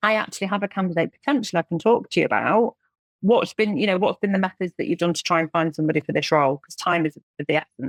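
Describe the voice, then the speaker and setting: A woman speaks at a very fast pace in an English accent, her pitch medium and her intonation lively. The sound is dry and close, with no echo. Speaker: recruitment agency owner. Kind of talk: podcast interview.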